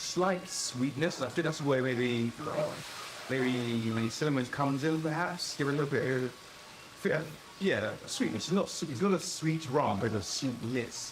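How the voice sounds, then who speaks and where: Amid noticeable background noise, a man at medium pitch talks at a fairly slow pace with very wide pitch swings. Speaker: rum reviewer. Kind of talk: casual talk to camera.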